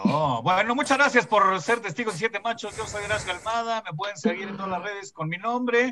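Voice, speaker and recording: A man with a Mexican accent speaks in a raised, projected voice at high pitch, fairly quick and with hardly any pauses. His loudness swings widely, and background noise is noticeable. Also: ordinary pitch variation. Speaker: comedian podcast host. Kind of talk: casual chat.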